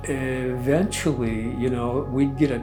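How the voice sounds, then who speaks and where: Music plays behind a man speaking at a medium pitch with an American accent. His pace is fairly slow and his intonation fairly even. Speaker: mental health therapist and remote viewing practitioner. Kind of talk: interview answer, personal storytelling. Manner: soft-spoken, deliberate, thoughtful, sincere.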